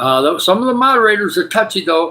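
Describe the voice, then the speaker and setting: A man is speaking. He has a Midwestern US accent. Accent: US Midwest. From Michigan, US. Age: 60s. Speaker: livestreamer. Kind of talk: casual live stream chat. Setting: spare bedroom at home. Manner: enthusiastic.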